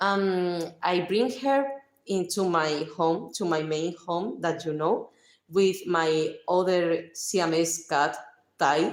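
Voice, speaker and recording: Audible room echo carries a woman's very slow, fairly low-pitched speech in a Spanish accent, with ordinary pitch variation. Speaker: livestreamer. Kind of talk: casual chat. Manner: halting.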